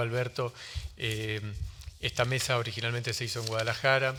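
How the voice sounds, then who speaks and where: A man speaks fairly quickly at a medium pitch with fairly even intonation. His tone is bright and sharp. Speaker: book publisher on a panel. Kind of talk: panel talk. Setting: book fair panel with audience. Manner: fast; hesitant, many fillers.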